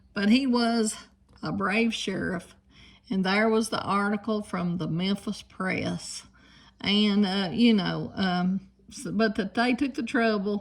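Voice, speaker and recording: Speaking very slowly with a Southern Appalachian accent, a woman uses a medium pitch, fairly even intonation and a somewhat breathy delivery. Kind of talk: casual storytelling to camera.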